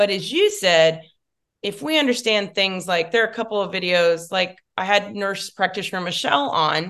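Speaking with an American accent, a woman's voice sits at a medium pitch. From Dallas, Texas. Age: 40s. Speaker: makeup artist. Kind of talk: casual interview. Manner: animated.

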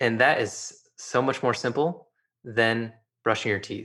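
Against a quiet background, a man speaks at a fairly slow pace with a medium pitch and ordinary pitch variation. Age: 30s. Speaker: optometrist. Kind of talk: interview.

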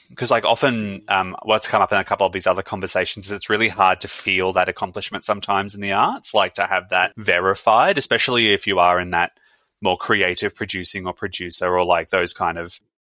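A man talks at a fairly quick pace in a bright, sharp tone with fairly low pitch. The sound is dry and close, with no echo. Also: fairly even intonation. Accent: Australian. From Brisbane, Australia. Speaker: podcast host. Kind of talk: interview.

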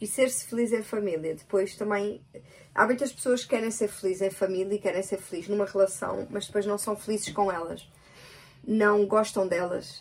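In a European Portuguese accent, a woman of medium pitch speaks at a moderate pace with an animated tone and ordinary pitch variation. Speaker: podcast co-host with her partner. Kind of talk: casual chat.

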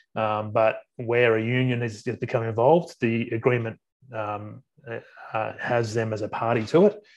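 Speaking with an Australian accent, a man of medium pitch keeps his intonation fairly even. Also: moderate pace. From Sydney, Australia. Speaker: workplace relations adviser. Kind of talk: podcast interview. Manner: halting.

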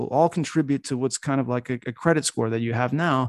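On a very clean recording with a silent background, a dark, mellow voice with an American accent moves at a fairly quick pace. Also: man. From United States. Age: 40s. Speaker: online magazine creator and self-mastery coach. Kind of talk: interview conversation.

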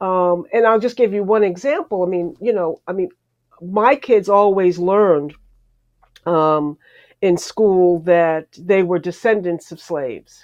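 A woman speaks with an American accent in a plain, everyday voice, at a fairly slow pace, medium pitch and ordinary pitch variation. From New York area. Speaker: television journalist and producer. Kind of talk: interview. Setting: live stream.

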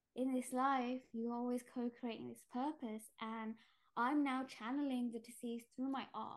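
In a London accent, a woman talks at a fairly slow pace with a high pitch and monotone, flat intonation. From East London, England (British Indian, Gujarati family). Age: 30s. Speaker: shamanic healer and artist. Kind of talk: casual interview chat.

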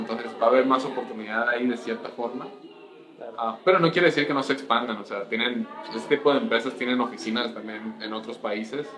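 Over noticeable background noise, a man talks at a fairly quick pace with medium pitch and ordinary pitch variation. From Colombia, then Mexico from age 15. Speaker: senior software engineer. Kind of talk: casual interview.

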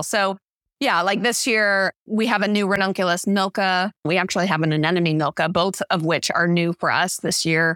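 Dry and close with no echo, the recording captures a woman with an American accent at a medium pitch and moderate pace. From US Midwest, St. Louis, Missouri. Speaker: flower farmer. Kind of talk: interview.

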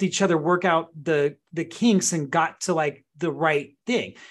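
A man talks at a moderate pace in a high pitch. His pitch varies in an ordinary way, and the background is quiet. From Southern California. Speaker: real estate agent. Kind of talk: casual interview.

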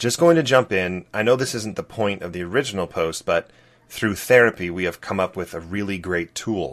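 He has a plain, everyday voice. This man speaks at a moderate pace. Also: quiet background. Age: 30s. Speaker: podcast host. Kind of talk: casual chat.

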